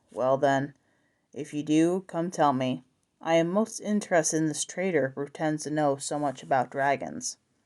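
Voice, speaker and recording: A woman puts on a gruff character voice, pitched very deep and low. She talks at a moderate pace with ordinary pitch variation. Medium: read story. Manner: gruff, knowing.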